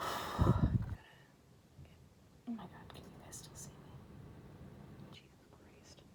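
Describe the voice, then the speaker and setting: Amid noticeable background noise, whispered words come very slowly, broken by long, frequent pauses. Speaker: ASMR creator. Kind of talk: casual talk to camera.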